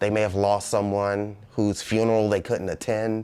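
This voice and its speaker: A man with an American accent talks at a moderate pace in a fairly low pitch. His is an unremarkable speaking voice. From Washington, D.C. area and Prince George's County, Maryland. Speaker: cannabis dispensary manager. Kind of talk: documentary interview. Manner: casual with frequent fillers.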